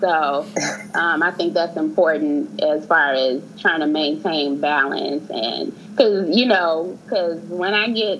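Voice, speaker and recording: A woman with an American accent speaks at a very slow pace with hardly any pauses, her pitch fairly low and her intonation lively. Noticeable background noise is present. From Chicago. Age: 30s. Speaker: research administrator. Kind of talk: casual chat.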